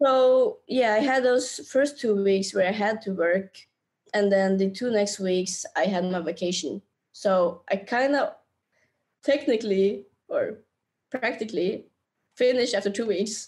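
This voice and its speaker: A woman's fairly high voice at a fairly slow pace, with long, frequent pauses. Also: ordinary pitch variation. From Norway. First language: Norwegian. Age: 20s. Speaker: travel YouTuber and entrepreneur. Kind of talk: casual interview chat. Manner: animated, laughs often.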